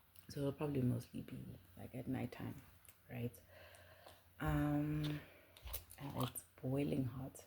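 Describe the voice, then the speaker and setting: Whispering with vocal fry, a woman speaks at a fairly slow pace with long, frequent pauses. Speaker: spiritual content creator. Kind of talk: casual monologue. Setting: home at night. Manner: hesitant, many fillers.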